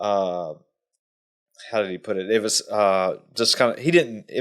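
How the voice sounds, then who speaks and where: A man speaks at a moderate pace in a normal speaking voice, his pitch fairly low. The recording is very clean, with a silent background. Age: 30s. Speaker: podcast host. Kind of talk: podcast interview.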